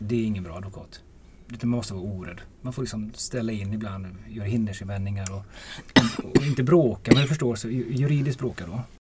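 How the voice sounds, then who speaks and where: A man with an ordinary speaking voice talks at a fairly quick pace and fairly low pitch, with ordinary pitch variation and big swings in loudness. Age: 50s. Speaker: defence lawyer. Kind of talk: casual chat.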